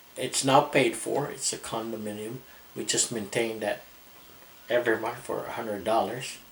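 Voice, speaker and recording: A medium-pitched man talks at a moderate pace with fairly even intonation, noticeable background noise audible behind him. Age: 60s. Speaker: retiree vlogger. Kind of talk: casual vlog talk. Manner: halting.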